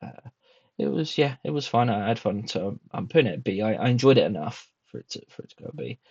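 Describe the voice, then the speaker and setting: The recording is dry and close with no echo, capturing a man at medium pitch whose voice shows vocal fry, very wide pitch swings, and a fairly quick pace. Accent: British. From Britain. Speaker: booktuber. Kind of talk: casual monologue review. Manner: hesitant, many fillers.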